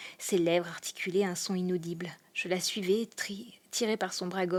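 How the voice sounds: This is a natural reading voice. The words are read aloud.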